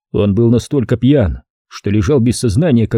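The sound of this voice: With a quiet background behind it, an unforced reading voice shows ordinary pitch variation.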